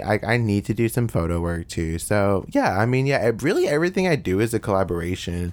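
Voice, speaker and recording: A man with an American accent has a normal speaking voice and a fairly low pitch. He talks at a moderate pace. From US South, Bowling Green, Kentucky. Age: 20s. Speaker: rapper and music artist. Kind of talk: casual interview chat.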